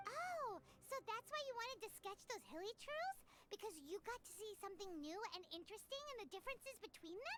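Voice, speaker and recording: A squeaky, put-on character voice at an extremely high pitch moves at a fairly quick pace over loud background noise. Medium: video game. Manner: casual, inquisitive.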